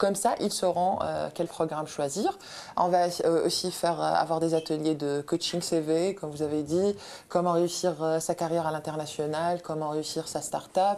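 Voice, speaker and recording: At a moderate pace, a woman speaks in a fairly low voice with monotone, flat intonation. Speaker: study-abroad agency representative. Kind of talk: talk show interview. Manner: hesitant, many fillers.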